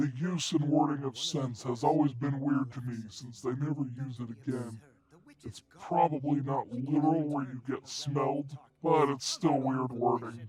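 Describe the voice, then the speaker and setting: A man does a put-on character voice at a medium pitch and a moderate pace. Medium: voice reel. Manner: blunt, grumpy.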